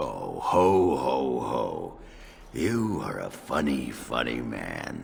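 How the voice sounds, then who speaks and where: Against clear background noise, a man uses a raspy, put-on character voice with a very deep, low pitch at a very slow pace. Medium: video game. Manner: gruff, hearty.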